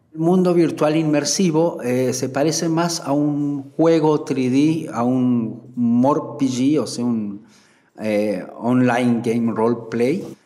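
Amid noticeable background noise and audible room echo, a man talks at a very slow pace with a medium pitch and ordinary pitch variation. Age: 40s. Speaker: IT specialist. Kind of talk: interview testimony.

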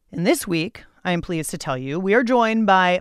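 In a very clean recording with a silent background, a woman with an unremarkable speaking voice talks at medium pitch with lively intonation. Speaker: podcast host. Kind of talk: casual chat.

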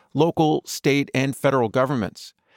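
In an ordinary speaking voice, a man with an American accent talks at a moderate pace with a fairly high pitch. The recording is very clean, with a silent background and a dry, close sound with no echo. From US Midwest (Minneapolis, south side). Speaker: podcast co-host. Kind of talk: scripted narration.

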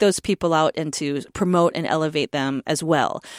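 With a dry, close sound, no echo and a silent background in a very clean recording, a woman with an unremarkable speaking voice speaks at a moderate pace with ordinary pitch variation. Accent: American. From North Dakota, US. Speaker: taiko drummer. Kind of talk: interview.

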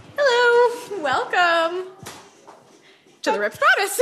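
A woman puts on a squeaky character voice at an extremely high pitch. She delivers it at a fairly slow pace. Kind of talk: forced bookshop-owner greeting. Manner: stilted, fake-sounding.

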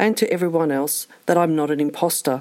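A woman talks at a fairly quick pace. She has an Australian accent. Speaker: listener contributor. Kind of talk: recorded listener story.

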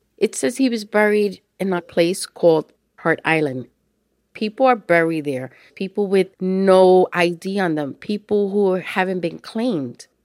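Speaking with a New York accent at a fairly slow pace, a woman uses medium pitch and lively intonation on a very clean recording with a silent background. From New York City, the Bronx. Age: 50s. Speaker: nurse telling her family search story. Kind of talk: first-person audio diary narration.

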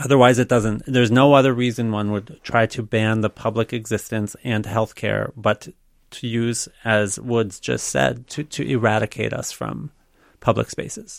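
In a very clean recording with a silent background and a dry, close sound with no echo, a plain, everyday voice with an American accent moves at a moderate pace with ordinary pitch variation. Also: man, medium pitch for a man. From Minnesota, Minneapolis suburbs. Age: 40s. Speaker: state legislator. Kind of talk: radio interview. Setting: studio.

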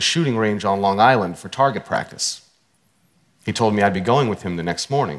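A man speaks in an ordinary speaking voice with a fairly low pitch and ordinary pitch variation. The recording is very clean, with a silent background. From US (Pittsburgh, Pennsylvania, moved often). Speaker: speaker. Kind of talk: interview and talk excerpts.

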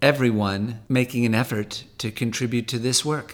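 An ordinary speaking voice at a fairly slow pace on a very clean recording with a silent background. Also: man. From California, San Fernando Valley. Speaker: talent manager and ocean charity board president. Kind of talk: interview.

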